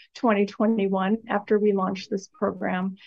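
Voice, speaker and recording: This woman talks at a moderate pace in a medium pitch. She has an unremarkable speaking voice. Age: 50s. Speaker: agency executive. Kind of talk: interview.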